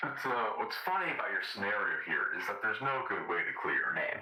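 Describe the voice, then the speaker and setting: Using a put-on character voice, a man talks at a fairly quick pace with a slight echo. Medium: machinima. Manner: casual, breezy.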